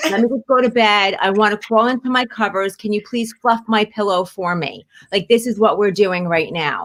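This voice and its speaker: A woman talks with hardly any pauses at a fairly high pitch and ordinary pitch variation, in a dry, close sound with no echo. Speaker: medium and animal communicator. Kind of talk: psychic reading. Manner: fast.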